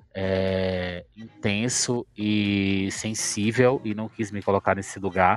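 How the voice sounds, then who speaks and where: Monotone and flat, a man with a fairly low pitch talks at a very slow pace with hardly any pauses. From Bahia, Brazil (Ipirá, sertão). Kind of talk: casual chat. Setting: online live audio room.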